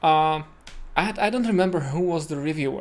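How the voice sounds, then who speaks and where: A man with a Czech accent speaks at a fairly high pitch. The recording is very clean, with a silent background. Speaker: web developer streamer. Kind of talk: live coding tutorial. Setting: home. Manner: hesitant, many fillers.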